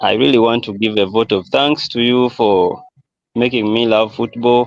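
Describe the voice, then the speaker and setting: With a Ugandan accent, a man talks at a moderate pace. His medium-pitched voice keeps a fairly even intonation. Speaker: football fan on a livestream call. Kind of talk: casual chat.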